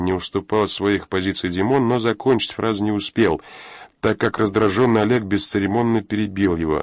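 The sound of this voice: The passage is read in an unforced reading voice.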